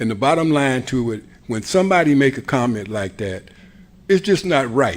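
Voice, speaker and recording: The man's voice sits at a medium pitch. His pitch swings very widely. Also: moderate pace. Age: 70s. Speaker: school board member. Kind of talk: board meeting discussion.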